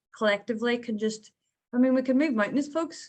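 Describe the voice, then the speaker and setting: A woman speaks with a Northern Irish accent and a high pitch. Her pitch varies in an ordinary way. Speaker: peace activist. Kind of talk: panel discussion.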